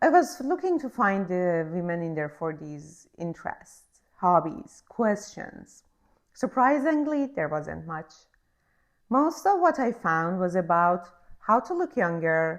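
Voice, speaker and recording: The speaker is a woman with a non-native accent. She talks at a very slow pace. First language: not English. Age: 40s. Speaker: podcast host. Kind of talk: scripted monologue introduction.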